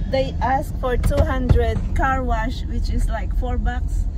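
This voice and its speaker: Over loud background noise, a woman speaks very slowly in a dry sound with no echo. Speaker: family vlogger. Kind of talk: casual vlog chat. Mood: amused, laughing. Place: car. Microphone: phone near.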